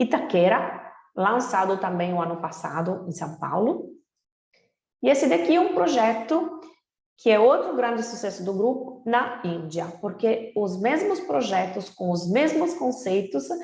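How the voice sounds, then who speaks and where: Her voice fairly high and somewhat breathy, a woman with a non-native accent speaks at a fairly slow pace with very wide pitch swings in audible room echo. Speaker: real estate company representative. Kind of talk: webinar presentation.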